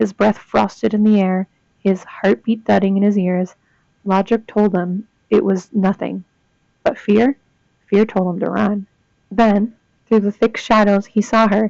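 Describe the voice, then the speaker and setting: Keeping her loudness very even, a woman speaks fairly slowly at a medium pitch with monotone, flat intonation and long, frequent pauses. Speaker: student. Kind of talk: reading ghost stories aloud. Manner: monotone, disinterested.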